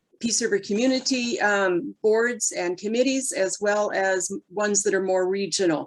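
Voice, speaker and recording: A woman speaks in a Canadian accent with a normal speaking voice. Her pitch is medium with ordinary variation, at a moderate pace. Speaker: mayoral candidate, deputy mayor. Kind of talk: candidate forum answer.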